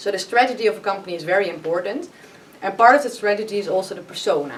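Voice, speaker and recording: A woman of medium pitch at a very fast pace, with ordinary pitch variation and noticeable background noise. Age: 30s. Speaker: business consultant and workshop facilitator. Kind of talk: podcast interview. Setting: company meeting room.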